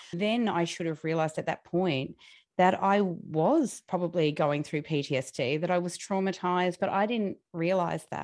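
A woman's fairly low voice against a quiet background. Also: ordinary pitch variation, moderate pace. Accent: Australian. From Australia. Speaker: podcast host and magazine publisher. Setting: video call, audio only.

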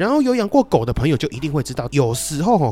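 A man speaks with a Taiwanese accent and very wide pitch swings. Noticeable background noise runs behind him. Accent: Taiwanese Mandarin. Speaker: podcast host. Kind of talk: casual monologue storytelling. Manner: quieter than usual.

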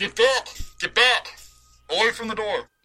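A man puts on a character voice at an extremely high pitch. Music plays in the background. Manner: commanding.

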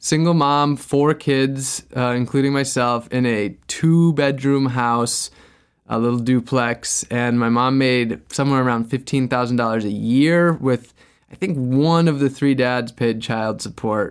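In an ordinary speaking voice with an American accent, a man talks at a fairly high pitch with ordinary pitch variation, on a very clean recording with a silent background. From US Midwest, Wisconsin. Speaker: sustainability activist and adventurer. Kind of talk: interview conversation.

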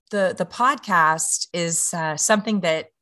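A woman with a Louisiana accent speaks at a fairly low pitch with a bright, sharp tone and ordinary pitch variation. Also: quiet background. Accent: Louisiana Southern US. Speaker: mother and podcaster. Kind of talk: interview.

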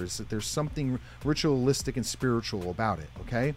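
Very fast American-accented male speech with very wide pitch swings, music in the background. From US, northeast Pennsylvania. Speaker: motivational speaker. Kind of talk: interview.

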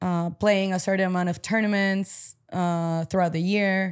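A woman's medium-pitched voice, recorded very cleanly against a silent background. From Paraguay (Asunción), moved to US at 14. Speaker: padel player, former college tennis player. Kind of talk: casual interview. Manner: casual, filler-heavy (um, like, you know).

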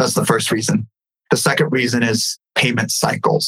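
A man with an American accent speaks at a moderate pace and medium pitch. He has a normal speaking voice. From California, raised there after leaving Ukraine as a baby. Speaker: entrepreneur. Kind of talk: casual interview.

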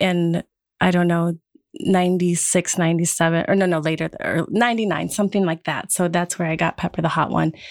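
In a monotone, flat intonation, a woman with a fairly low pitch talks at a fairly quick pace and very even loudness. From Wisconsin. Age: 50s. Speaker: production team member. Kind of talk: casual roundtable discussion.

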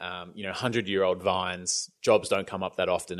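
Over a quiet background, a man with an Australian accent talks at a fairly quick pace. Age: 30s. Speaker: YouTube creator, former radio presenter. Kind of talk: casual interview chat. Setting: remote call during lockdown.

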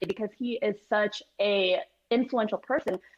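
A woman speaks with an American accent and a fairly high pitch. Hers is a plain, everyday voice. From Chicago, US Midwest. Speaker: golfer and social media personality. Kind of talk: interview.

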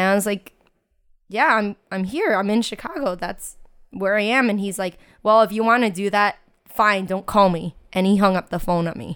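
At a moderate pace, a woman with a normal speaking voice talks at medium pitch with ordinary pitch variation. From US, New York Chinatown. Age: 20s. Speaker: teacher. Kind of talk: casual chat.

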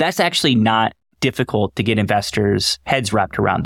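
A man has an ordinary speaking voice at a medium pitch, with an American accent and a fairly quick pace. The recording is very clean with a silent background and a dry, close sound with no echo. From US South, Raleigh, North Carolina. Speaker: investment firm founder. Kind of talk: interview.

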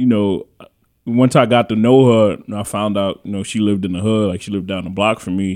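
A man with an American accent talks at a fairly quick pace in a fairly low pitch with fairly even intonation, on a very clean recording with a silent background. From New York. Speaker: podcast host. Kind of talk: casual chat.

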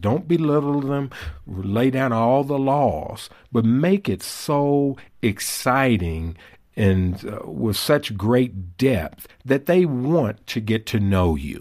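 A man at a medium pitch, very slow in pace with very wide pitch swings, on a very clean recording with a silent background. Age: 60s. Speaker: author and fatherhood speaker. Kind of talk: interview.

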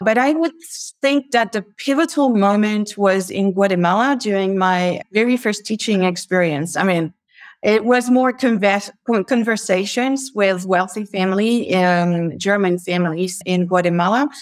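A woman speaks with a French accent at a moderate pace. Her pitch varies in an ordinary way, and the recording is very clean with a silent background. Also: medium pitch for a woman, very even loudness. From France, near Paris. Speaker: logistics executive. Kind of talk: interview.

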